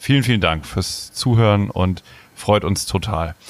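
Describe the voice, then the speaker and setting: The man talks at a moderate pace. His pitch variation is ordinary. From northern Germany, near Bremen. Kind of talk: casual chat.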